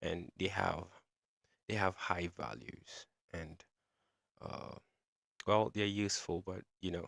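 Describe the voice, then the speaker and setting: A man with a very deep, low voice speaks at a very slow pace, with long, frequent pauses and vocal fry. His pitch varies in an ordinary way, and the sound is dry and close with no echo. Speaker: trading teacher. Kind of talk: live-streamed tutorial. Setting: live stream. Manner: halting.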